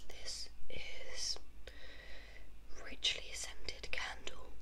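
A soft-spoken woman is whispering, with light background noise behind her. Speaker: ASMR creator. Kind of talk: ASMR triggers video, casual talk to camera. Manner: soft-spoken, casual, whispery. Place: home room. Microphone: phone near.

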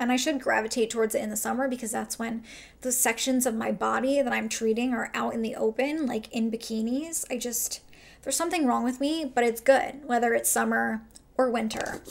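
The woman's tone is upbeat and her pitch fairly high. She speaks at a fairly quick pace. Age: 30s. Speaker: makeup artist. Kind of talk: casual talk to camera. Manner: chatty, upbeat. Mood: relaxed, self-deprecating. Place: home room.

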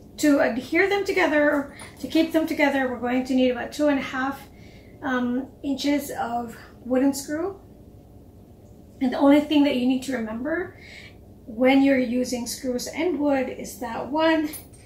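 A woman's high-pitched voice at a moderate pace, with ordinary pitch variation, long, frequent pauses, audible room echo and light background noise. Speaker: cake decorator instructor. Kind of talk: tutorial.

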